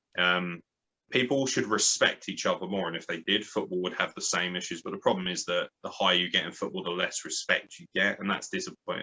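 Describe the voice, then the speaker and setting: The speaker is a man with a southern English accent. He talks at a fairly quick pace. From southern England, born in Lincoln. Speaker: graphic designer and wrestling podcaster. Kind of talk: casual interview. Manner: animated.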